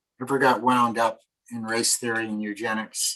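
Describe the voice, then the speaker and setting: Sharp and bright in tone, a man with an American accent talks at a moderate pace and medium pitch, his intonation flat and monotone. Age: 60s. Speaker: conservation presenter. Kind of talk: lecture. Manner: halting.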